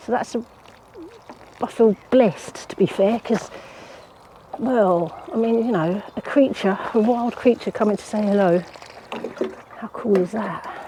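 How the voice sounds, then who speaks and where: An English-accented woman with a fairly high voice speaks at a fairly slow pace, leaving long, frequent pauses amid noticeable background noise. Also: ordinary pitch variation. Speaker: gardening vlogger. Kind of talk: casual vlog monologue. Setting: outdoors at allotment. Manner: quiet, hushed.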